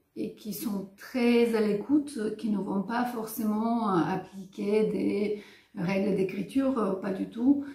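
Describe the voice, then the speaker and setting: Very slow and fairly even in intonation, the speech comes with a Bulgarian accent and audible room echo. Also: woman. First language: Bulgarian (speaking French). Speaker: writer and filmmaker. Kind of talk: interview. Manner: hesitant, many fillers.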